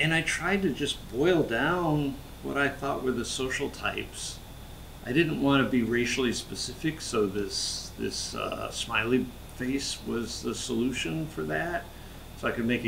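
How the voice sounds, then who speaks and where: Lively intonation marks this fairly slow speech with an American accent. Audible room echo and noticeable background noise surround it. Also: man. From US Midwest, Wichita, Kansas. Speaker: sculptor. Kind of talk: casual explanation to camera. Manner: halting, with fillers and repeats.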